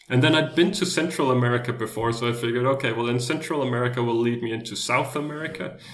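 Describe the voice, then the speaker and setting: Talking at a very fast pace, a man uses medium pitch with ordinary pitch variation. Audible room echo and noticeable background noise fill the recording. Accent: Danish. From Denmark. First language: Danish. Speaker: world traveler. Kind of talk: interview.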